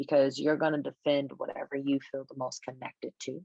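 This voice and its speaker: A woman's very deep, low voice at a moderate pace, with a dry, close sound and no echo. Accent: American. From United States. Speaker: travel author. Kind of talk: conversation.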